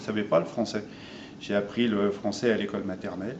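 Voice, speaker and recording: A fairly low-pitched male voice with audible room echo. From France. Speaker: interviewee, son of Armenian immigrants. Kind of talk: interview. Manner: halting.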